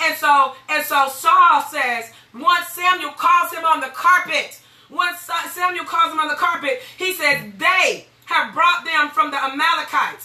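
A woman's raised, projected voice at a fairly slow pace, with ordinary pitch variation and noticeable background noise. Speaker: pastor and radio host. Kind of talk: sermon. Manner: animated.

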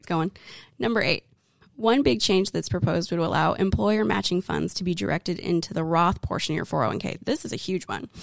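The voice has vocal fry and a fairly quick pace. Its pitch swings very widely. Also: woman, fairly low pitch for a woman. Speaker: co-host, wealth advisor. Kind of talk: casual educational chat about retirement law.

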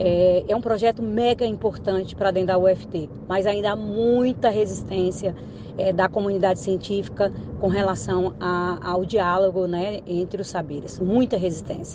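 A woman's medium-pitched voice at a fairly slow pace, with fairly even intonation over noticeable background noise. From Tocantins, central Brazil. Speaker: university administrator and professor. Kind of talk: interview. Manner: hesitant, many fillers.

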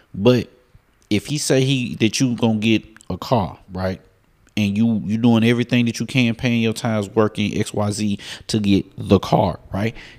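On a very clean recording with total background silence, a man talks at a moderate pace with a fairly low pitch. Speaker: preacher. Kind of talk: sermon. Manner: animated, call-and-response; repetitive, emphatic.

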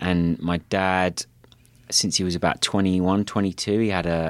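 A man with a southern English accent talks at a moderate pace in a very deep, low voice with ordinary pitch variation. The recording is very clean, with a silent background. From southeast England (Kent). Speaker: tech company co-founder and CEO. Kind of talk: interview conversation. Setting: company office.

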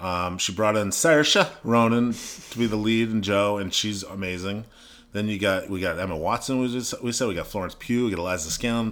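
This man has a fairly low pitch and a normal speaking voice. He speaks at a moderate pace with ordinary pitch variation. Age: 30s. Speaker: podcast co-host. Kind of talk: casual chat.

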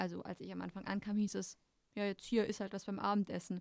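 Dry and close with no echo, this very clean recording over a silent background has a woman at medium pitch talking at a fairly quick pace in a flat monotone. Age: 20s. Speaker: former eating disorder patient. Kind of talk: casual chat.

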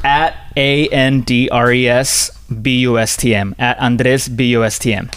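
A man speaks at a fairly slow pace in a monotone, flat intonation with very even loudness. Noticeable background noise can be heard. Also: medium pitch for a man. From Colombia. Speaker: visual artist. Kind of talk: casual interview.

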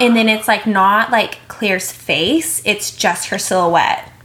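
A woman talks at medium pitch with ordinary pitch variation while noticeable background noise carries on. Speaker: podcast co-host. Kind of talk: casual chat. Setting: sitting on a bed with roommate present.

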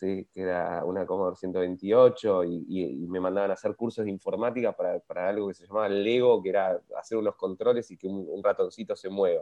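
A man talks at a fairly quick pace with hardly any pauses. His loudness swings widely from moment to moment. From Argentina, Patagonia (Bariloche). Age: 40s. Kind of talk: interview.

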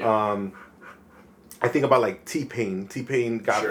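At a moderate pace comes an unremarkable speaking voice with an American accent. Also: man. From Chicago, Logan Square. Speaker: videographer and podcast host. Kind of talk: casual chat.

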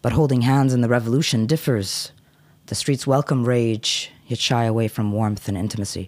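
A man with an American accent and an ordinary speaking voice talks at a moderate pace and medium pitch with fairly even intonation. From United States. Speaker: poet and cultural activist. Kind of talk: poetry reading; casual chat. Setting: studio.

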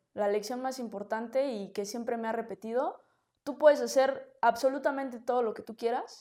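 In a central Mexican accent, a woman speaks fairly quickly, her high voice carrying a dark, mellow tone. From Mexico City. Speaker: political candidate. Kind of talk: interview.

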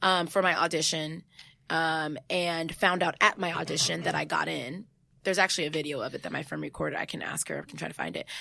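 Animated and very fast, a woman talks with a Californian accent and big swings in loudness. The recording is very clean, with a silent background. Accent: General American, Californian. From US West Coast, San Jose, California. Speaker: actress, writer and director of a web series. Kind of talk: casual interview. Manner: animated, laughs often.

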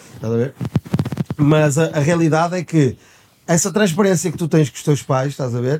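Pausing long and often, a man speaks at a moderate pace with a fairly high pitch and ordinary pitch variation. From Portugal. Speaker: podcast co-host. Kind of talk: casual chat.

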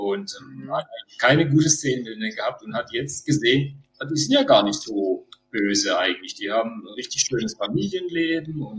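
A man with a plain, everyday voice and lively intonation. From Baden-Württemberg. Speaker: Star Wars cosplayer. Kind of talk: casual chat.

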